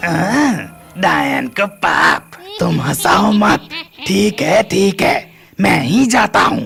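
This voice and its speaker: Over clear music in the background, a man uses a cartoonish character voice and talks very slowly. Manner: complaining.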